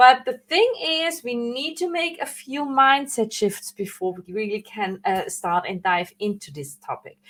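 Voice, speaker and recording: A woman with a non-native accent speaks at a fairly slow pace in a high pitch. Her pitch swings very widely and her loudness shifts a lot. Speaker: branding coach. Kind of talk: live online training. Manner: hesitant, with fillers and self-corrections.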